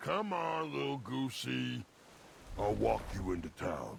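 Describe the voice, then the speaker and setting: A put-on character voice at a fairly slow pace, over clear background noise. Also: man, very deep, low pitch for a man. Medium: video game. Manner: warm, talks about self in third person.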